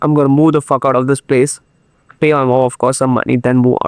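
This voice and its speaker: Speaking at a very fast pace, a man with a medium pitch comes across in a dry, close sound with no echo. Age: 20s. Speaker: YouTuber. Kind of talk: motivational monologue.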